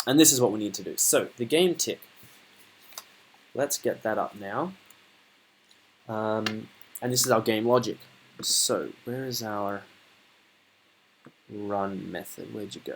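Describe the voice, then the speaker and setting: Long, frequent pauses break up delivery at a fairly slow pace. Behind it, background noise is noticeable. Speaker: student programmer giving coding tutorial. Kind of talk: coding tutorial. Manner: casual, hesitant with fillers.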